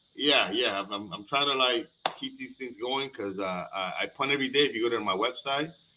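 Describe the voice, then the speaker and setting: Over noticeable background noise, a man with a Spanish accent talks fairly quickly at a medium pitch with ordinary pitch variation. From Panama. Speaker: comedian. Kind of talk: casual chat. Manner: halting, many fillers and repeated words.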